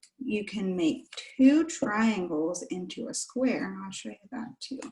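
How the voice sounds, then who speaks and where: A woman speaks with an ordinary speaking voice, fairly high in pitch, at a fairly slow pace. Her intonation is lively, and her loudness shows big swings. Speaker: children's librarian. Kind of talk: children's craft tutorial. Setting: video call.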